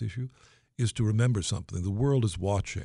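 Somewhat breathy and fairly low in pitch, a man speaks with ordinary pitch variation against a quiet background. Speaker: head of a state-created homeowner assistance insurance company. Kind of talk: radio interview. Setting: radio studio or phone line.

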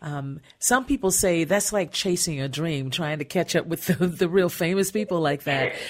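A woman's fairly low voice with a warm, enthusiastic tone, moderate pace and ordinary pitch variation, in a very clean recording with a silent background. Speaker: radio arts and entertainment show host. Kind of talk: casual interview. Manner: warm and enthusiastic.

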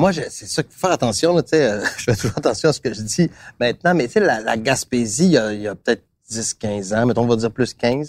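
Sounding dry and close with no echo, a man talks at a fairly quick pace and medium pitch with lively intonation. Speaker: TV host and actor. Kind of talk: casual chat over lunch.

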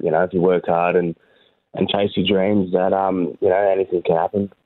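Here is a man with an Australian accent. His pitch is very deep and low. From Hervey Bay, Queensland, Australia. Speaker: rugby league player. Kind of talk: interview.

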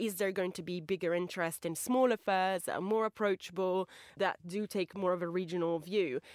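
In an ordinary speaking voice of medium pitch, a woman talks at a fairly quick pace, the sound dry and close with no echo on a very clean recording with a silent background. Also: fairly even intonation. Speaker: magazine deputy editor, art reviewer. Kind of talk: casual discussion. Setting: studio.

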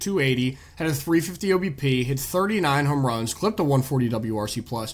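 There's a somewhat breathy quality to this man's voice. His intonation is lively. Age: 20s. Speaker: sports podcast host. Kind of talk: casual chat.

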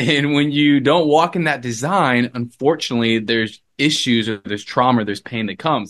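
Against a quiet background, a man with a plain, everyday voice speaks at medium pitch and a fairly quick pace. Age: 20s. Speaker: revivalist and ministry co-founder. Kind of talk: interview testimony.

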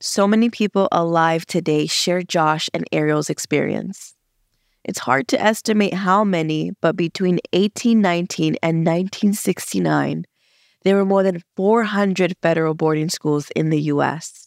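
A woman with a plain, everyday voice and an American accent speaks at a moderate pace in a fairly low pitch, with very even loudness and a dry, close sound with no echo. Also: ordinary pitch variation. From Los Angeles, California. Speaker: podcast host. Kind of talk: scripted narration.

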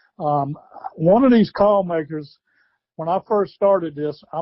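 A man with a Southern US accent and a high-pitched voice. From US South, South Carolina. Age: 60s. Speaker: retired wildlife biologist and turkey call maker. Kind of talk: interview.

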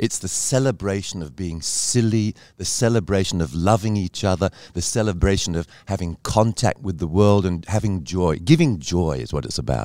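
Someone with an English accent speaks at a moderate pace in a dark, mellow tone with lively intonation. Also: man, very deep, low pitch for a man. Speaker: cabaret performer. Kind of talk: casual interview.

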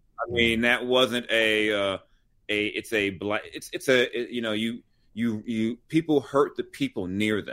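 Speaking at a fairly slow pace in a normal speaking voice, a man with an American accent holds a medium pitch and fairly even intonation. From Los Angeles, US West Coast. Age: 40s. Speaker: sports and culture writer. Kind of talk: casual chat.

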